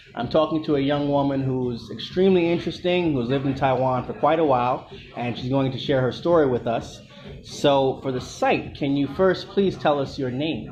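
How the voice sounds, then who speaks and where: Music in the background behind a man's fairly high voice, with ordinary pitch variation at a moderate pace. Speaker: interviewer. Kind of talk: interview questions.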